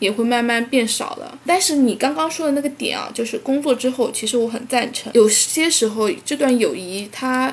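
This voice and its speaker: With a southern Chinese accent, a woman speaks at a moderate pace in a high-pitched voice with lively intonation, over noticeable background noise. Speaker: podcast co-host. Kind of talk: casual chat.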